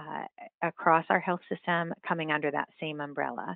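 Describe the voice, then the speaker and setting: In a normal speaking voice, a woman with an American accent talks at a moderate pace and a fairly low pitch with fairly even intonation. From West Virginia. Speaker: healthcare revenue executive. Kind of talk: interview.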